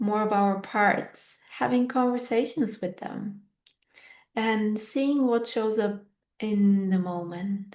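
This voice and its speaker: Speaking at a very slow pace, a woman uses a fairly high pitch. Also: ordinary pitch variation. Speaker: podcast host and fitness teacher. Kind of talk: reflective solo podcast monologue. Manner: unscripted, thoughtful.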